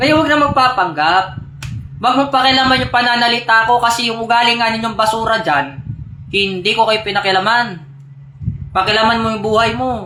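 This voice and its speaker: Over noticeable background noise with audible room echo, a man talks fairly quickly in a raised, projected voice of extremely high pitch, with ordinary pitch variation. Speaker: religious group leader on live stream. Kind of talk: live stream address to followers. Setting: live stream. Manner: animated, combative.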